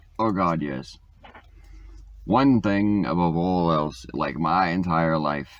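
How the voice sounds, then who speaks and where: Loud speech at a very slow pace. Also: man. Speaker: vlogger. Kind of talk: casual monologue answering get-to-know-you questions. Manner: animated, talkative.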